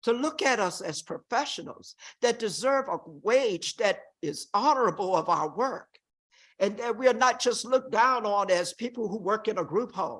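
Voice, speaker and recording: A woman's fairly high pitch and lively intonation at a moderate pace, against a quiet background. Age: 60s. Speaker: group home worker testifying at hearing. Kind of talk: public testimony. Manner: impassioned.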